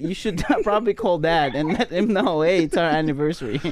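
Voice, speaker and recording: A high-pitched man talking at a very fast pace with lively intonation, over noticeable background noise. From Philippines. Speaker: podcast host. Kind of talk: casual chat.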